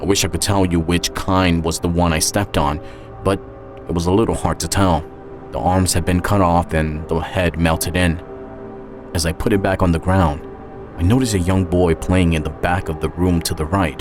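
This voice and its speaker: A man's very deep, low voice at a moderate pace with ordinary pitch variation, music in the background. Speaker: voice actor and narrator. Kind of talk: audio drama narration, first-person story.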